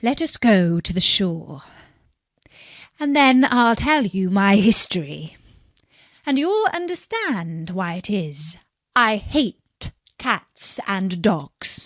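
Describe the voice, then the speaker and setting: On a very clean recording with a silent background, a woman uses a shaky, put-on character voice at medium pitch, speaking at a very slow pace with long, frequent pauses. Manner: pale with passion, emotional.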